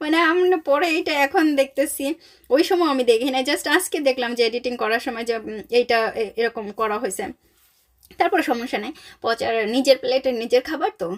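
Lively intonation marks the high-pitched voice of this woman. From Bangladesh. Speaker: vlogger. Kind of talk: casual vlog narration.

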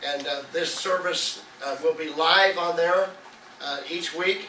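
A high-pitched man's voice with audible room echo and light background noise. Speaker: pastor. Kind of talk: sermon. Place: church.

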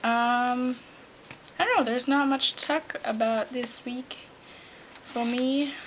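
A woman speaks quietly at a high pitch and a very slow pace, her intonation fairly even, with light background noise behind her. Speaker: vlogger. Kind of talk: casual talk to camera. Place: home room. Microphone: webcam.

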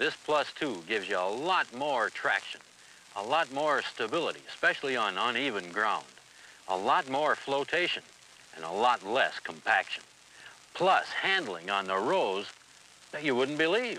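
A man speaks at a moderate pace with very wide pitch swings. The sound is dry with no echo, with light background noise. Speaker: equipment salesman in promo film. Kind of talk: scripted sales dialogue. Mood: enthusiastic, folksy. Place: farm machine.

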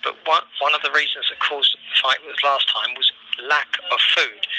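Someone with a London accent talks at a moderate pace, the sound dry with no echo over light background noise. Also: man. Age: 60s. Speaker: prisoner. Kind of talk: phone call testimony. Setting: phone line. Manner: hesitant.

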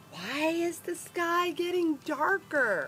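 An extremely high, put-on character voice crawls along at a very slow pace. Clear background noise runs underneath. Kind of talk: bedtime story character voice for children. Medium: read story. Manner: nervous, panicky, whispering then crying for help.

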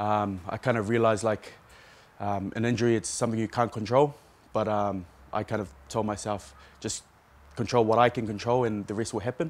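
A man with a New Zealand accent talks at a fairly quick pace with a fairly low pitch. His intonation stays fairly even, broken by long, frequent pauses. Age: 30s. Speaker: rugby player. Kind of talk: press conference interview. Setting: media session. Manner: hesitant, many fillers. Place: stadium. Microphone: handheld.

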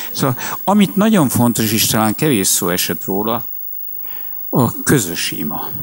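A man's voice at a fairly slow pace, pitch swinging very widely, with long, frequent pauses. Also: medium pitch for a man. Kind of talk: public talk.

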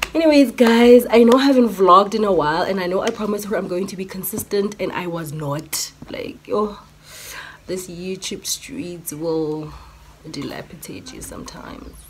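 A woman speaks at a moderate pace, her loudness swinging widely. Light background noise runs underneath. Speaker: vlogger. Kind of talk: casual vlog chat. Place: home room. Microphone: phone near.

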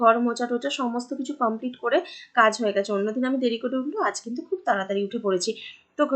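This woman's voice sits high in pitch. Her pitch varies in an ordinary way. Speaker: vlogger. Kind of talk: vlog narration. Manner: casual, chatty; soft-spoken.

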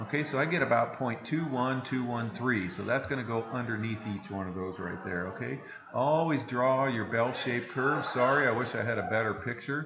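A man with ordinary pitch variation and hardly any pauses, over noticeable background noise. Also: moderate pace. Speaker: math teacher. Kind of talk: lecture. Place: classroom.

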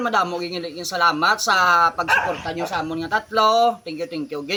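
A man talks very fast in a high voice with ordinary pitch variation, over noticeable background noise. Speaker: vlogger. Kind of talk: casual vlog talk to followers.

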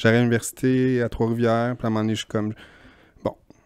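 The voice has a Quebec accent and a flat, monotone delivery. The sound is dry, with no echo. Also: man. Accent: Québécois French. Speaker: podcast co-host. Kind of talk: casual chat. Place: home room. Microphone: handheld.

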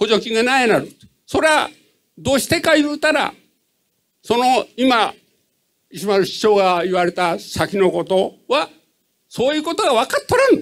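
With a Hiroshima accent, a man speaks in an extremely high pitch with very wide pitch swings and long, frequent pauses against a quiet background. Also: moderate pace. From Japan. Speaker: citizen asking question. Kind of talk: audience question at public meeting. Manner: halting. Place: hall.

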